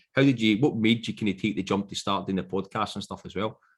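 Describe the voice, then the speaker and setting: A man speaks in a Scottish accent. The recording is very clean, with a silent background. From Scotland. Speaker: podcast host. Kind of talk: casual interview chat.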